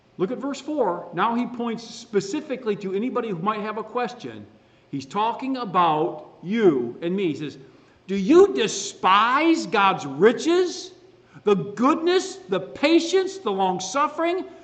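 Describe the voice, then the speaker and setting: A man speaks at a fairly slow pace, his voice pitched high. His pitch swings very widely, and audible room echo surrounds him. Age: 60s. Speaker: pastor. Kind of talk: sermon. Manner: animated.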